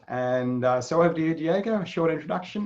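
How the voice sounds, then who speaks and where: Speaking with an Australian accent, a man with a fairly high pitch keeps a fairly quick pace. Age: 60s. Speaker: psychologist and webinar moderator. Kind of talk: webinar introduction.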